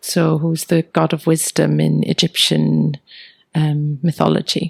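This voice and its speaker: A woman with a Welsh accent at a fairly slow pace, her loudness very even, in a dry, close sound with no echo. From Wales. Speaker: teacher and tarot card reader. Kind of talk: interview answer.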